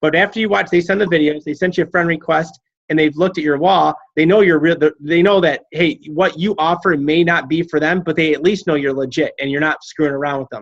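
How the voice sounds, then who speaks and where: A man's high-pitched voice at a fairly quick pace, fairly even in intonation, over a quiet background. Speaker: fitness coach team leader. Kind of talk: group coaching call. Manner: fast.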